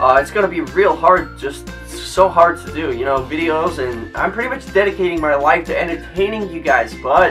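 Over clear background music, a man talks at a moderate pace with hardly any pauses. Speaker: youtuber. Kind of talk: casual vlog chat. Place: home room.

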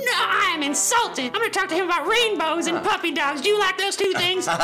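A cartoonish character voice at an extremely high pitch and very fast pace, over clear background noise. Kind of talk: comic overacting. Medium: puppet show. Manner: cutesy, wheedling, mock-innocent.

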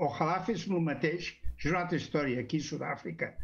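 A man speaks with a fairly high pitch. There is vocal fry in his voice. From Barcelona, Sants; Barcelona. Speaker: audience participant. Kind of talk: casual chat. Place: home room. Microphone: video call.

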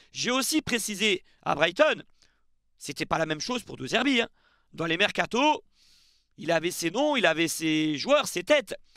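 Against a quiet background, a man uses a raised, projected voice with a bright, sharp tone, very wide pitch swings and a fairly slow pace. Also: dry sound with no echo. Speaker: football YouTuber; football news youtuber. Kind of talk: casual video commentary. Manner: chatty, with fillers. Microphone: headset.

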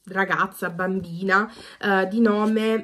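A woman with a medium pitch talks at a very slow pace in a monotone, flat intonation. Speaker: booktuber. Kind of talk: casual vlog talk. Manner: hesitant, many fillers.

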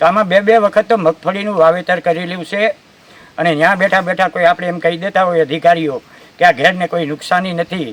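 A man speaks with a high pitch. The recording is dry and close, without echo. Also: fairly even intonation. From Junagadh district, Saurashtra, Gujarat. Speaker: farmer. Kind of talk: on-site news interview. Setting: outdoors, riverbank.

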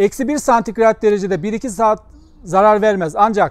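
High-pitched man at a moderate pace against a quiet background. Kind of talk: tutorial. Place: garden.

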